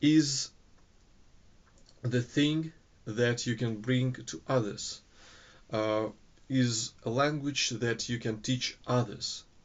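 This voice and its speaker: A man's very slow speech in a Russian accent, fairly even in intonation, with long, frequent pauses. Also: medium pitch for a man. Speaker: English teaching student. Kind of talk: recorded course assignment monologue. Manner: halting, many filler sounds.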